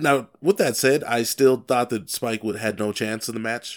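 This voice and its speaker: The speaker has a normal speaking voice with ordinary pitch variation at a fairly slow pace. The recording is very clean, with a silent background. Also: man. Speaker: podcast co-host, wrestling fan. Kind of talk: casual chat, wrestling podcast banter.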